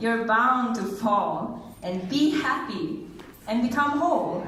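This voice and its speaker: Through noticeable background noise, a woman speaks very slowly with lively intonation. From Singapore. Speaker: spoken word poet. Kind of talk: poetry reading. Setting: live event.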